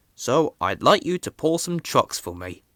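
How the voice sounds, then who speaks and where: A man does a put-on character voice at a moderate pace, with big swings in loudness, on a very clean recording with a silent background. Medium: read story. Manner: firm, authoritative.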